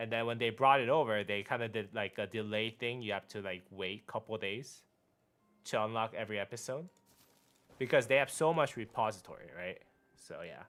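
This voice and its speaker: Music plays in the background as a man speaks at a fairly quick pace, with a Korean accent. His pitch is medium, with ordinary variation. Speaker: gaming streamer. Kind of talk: casual live-stream chat.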